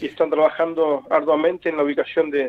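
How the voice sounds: A man with a fairly high pitch speaks at a fairly quick pace.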